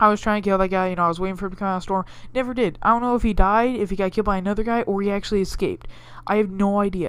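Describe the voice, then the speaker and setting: A woman speaks at a very fast pace in a medium pitch with fairly even intonation. The recording is very clean, with a silent background. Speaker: gaming youtuber. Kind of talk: gameplay commentary. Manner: casual, rambling.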